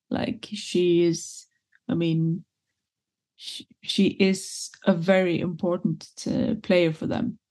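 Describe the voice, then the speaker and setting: Against a quiet background, a woman speaks at a very slow pace. Her tone is dark, mellow and somewhat breathy. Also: long, frequent pauses. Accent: Swedish. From Sweden. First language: Swedish. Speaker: football pundit. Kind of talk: casual chat.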